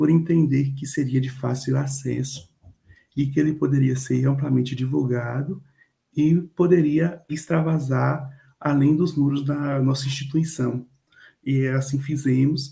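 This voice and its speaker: With flat, monotone intonation, a man speaks fairly slowly in a somewhat breathy, dark and mellow voice of fairly high pitch. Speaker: university student presenter. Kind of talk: class presentation.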